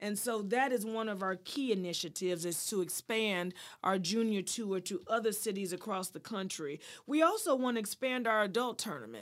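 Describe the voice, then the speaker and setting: Recorded very cleanly with a silent background, a woman speaks in an ordinary speaking voice. Her pitch is medium with ordinary variation, at a moderate pace. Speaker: golf foundation president. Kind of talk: interview.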